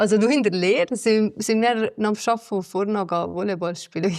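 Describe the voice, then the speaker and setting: A woman speaks with a Swiss German accent and fairly even intonation. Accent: Lötschental Swiss German dialect. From Switzerland, Valais, Lötschental. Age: 20s. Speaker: evacuated villager, former radio journalist. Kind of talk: interview testimony.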